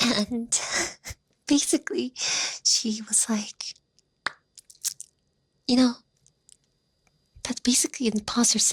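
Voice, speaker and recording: Very slow, soft-spoken whispering from a woman, broken by long, frequent pauses. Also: dry, close sound with no echo. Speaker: ASMR content creator. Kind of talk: casual talk to camera. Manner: whispered, soft-spoken.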